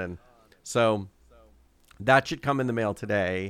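Here a man talks with a fairly low pitch and ordinary pitch variation. It is a plain, everyday voice. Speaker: podcast co-host. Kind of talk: casual chat. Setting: remote recording.

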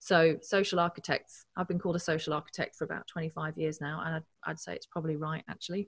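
On a very clean recording with a silent background and a dry, close sound with no echo, a woman speaks at a very fast pace with hardly any pauses. Her voice is fairly low in pitch, somewhat breathy, with monotone, flat intonation. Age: 40s. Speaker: engineering professor and drone expert. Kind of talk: casual interview.

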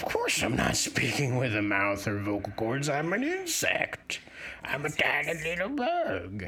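A man in a put-on character voice at a moderate pace, with clear background noise.

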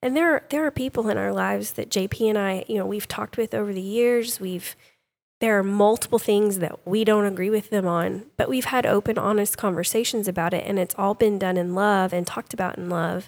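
Speaking at a fairly quick pace with an East Texas accent, the voice shows ordinary pitch variation. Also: woman, medium pitch for a woman. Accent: East Texas Southern US. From East Texas (Sulphur Springs area). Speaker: homeschooling mother, co-host. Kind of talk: casual discussion.

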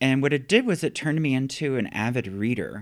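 A plain, everyday voice from a man with an American accent, medium-pitched and fairly quick, on a very clean recording with a silent background. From US, factory town. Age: 50s. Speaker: poet. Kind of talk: interview. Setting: empty office.

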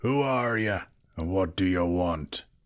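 In a put-on character voice, a man speaks gruffly at a fairly slow pace with a very deep, low pitch. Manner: gruff, suspicious.

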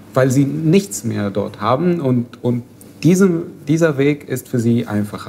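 Here a man talks very slowly at a medium pitch. His intonation is lively. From Syria. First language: Arabic (speaking German). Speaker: refugee activist. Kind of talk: casual discussion. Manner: halting.

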